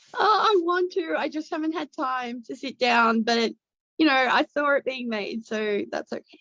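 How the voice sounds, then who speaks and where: In an Australian accent, a woman speaks with a high pitch at a moderate pace. Her pitch swings very widely. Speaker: actress. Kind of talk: casual chat. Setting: video call.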